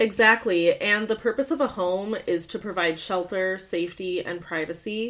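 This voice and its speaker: With an American accent, a woman uses an unremarkable speaking voice at medium pitch, moderate pace and ordinary pitch variation, hardly pausing at all. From US Midwest, Michigan. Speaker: podcast co-host. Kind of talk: casual chat.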